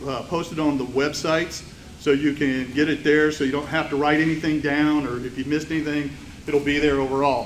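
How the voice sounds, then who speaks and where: Noticeable background noise and audible room echo surround this recording. The man's pitch sits fairly high. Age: old. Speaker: technical college executive. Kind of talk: presentation with slides. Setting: breakfast event with audience. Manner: fast.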